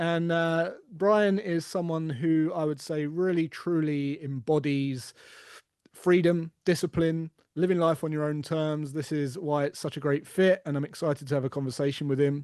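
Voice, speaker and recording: A fairly high-pitched man at a moderate pace, fairly even intonation, quiet background. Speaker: podcast host. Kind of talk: casual interview.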